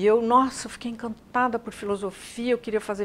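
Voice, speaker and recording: Noticeable background noise behind fairly quick talk. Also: woman. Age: 70s. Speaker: psychologist and executive consultant. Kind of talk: interview.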